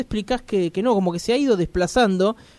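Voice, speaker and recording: A man is talking. The recording sounds dry and close, with no echo. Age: 30s. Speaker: radio host. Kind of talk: radio interview. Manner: animated.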